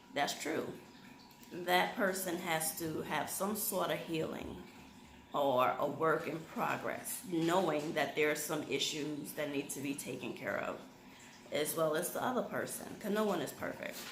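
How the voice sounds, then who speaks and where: Over noticeable background noise and audible room echo, a soft-spoken woman talks at a very deep, low pitch with ordinary pitch variation. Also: fairly slow pace. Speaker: YouTube vlogger. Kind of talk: casual chat.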